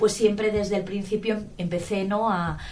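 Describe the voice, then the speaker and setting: The speaker has a Valencian accent and an enthusiastic tone. The pace is moderate. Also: woman. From Valencia region, Spain. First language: Valencian Catalan (speaking Spanish). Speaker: linguistics professor. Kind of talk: interview. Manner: hesitant, many fillers.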